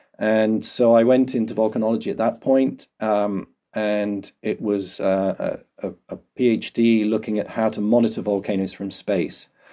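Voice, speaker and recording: In a southern English accent, a man speaks at a fairly low pitch with fairly even intonation and a dark, mellow tone. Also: quiet background. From London, England. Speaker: volcanologist. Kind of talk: interview. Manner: halting.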